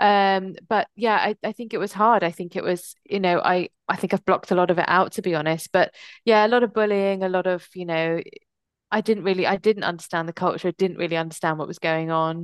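Speaking in a southern English accent, a woman talks at a fairly quick pace in a medium pitch. The sound is dry and close, with no echo, and the background is quiet. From England, Kent (moved from US at nine). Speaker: diversity and mental health consultant. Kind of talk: interview.

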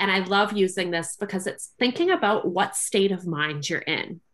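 A woman speaks at a moderate pace with a Canadian accent and a bright, sharp tone. The recording is very clean, with a silent background. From Canada. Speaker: copywriter and mindset coach. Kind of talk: casual interview chat.

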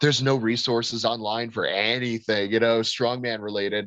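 Speaking with an American accent, a man talks at a fairly quick pace. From Florida, US. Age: 20s. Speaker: strongman athlete. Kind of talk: casual chat. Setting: call. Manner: animated.

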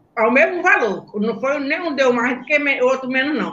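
With audible room echo, a woman speaks in a high voice with lively intonation. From Brazil, Belém do Pará. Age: 70s. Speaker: former women's football player. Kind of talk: interview on live stream.

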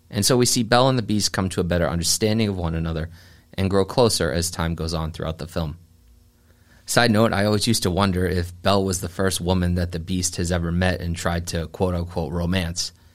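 The pace is very fast and the intonation fairly even. The recording is very clean, with a silent background. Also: man, very deep, low pitch for a man. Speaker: podcast host. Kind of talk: solo podcast monologue. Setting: studio.

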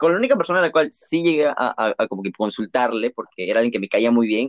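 Very fast and with lively intonation, a man talks at medium pitch, the sound dry and close with no echo. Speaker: podcast co-host. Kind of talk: casual chat.

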